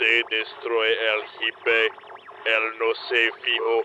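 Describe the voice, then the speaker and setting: Over clear background noise, a man puts on a character voice at a medium pitch and talks at a very slow pace. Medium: machinima.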